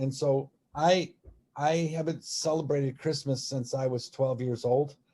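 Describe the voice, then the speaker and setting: Somewhat breathy and dark, mellow in tone, a man speaks fairly slowly at a fairly high pitch with fairly even intonation. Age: 60s. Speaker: religious movement member. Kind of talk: personal testimony in online talk. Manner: halting, many repetitions and fillers.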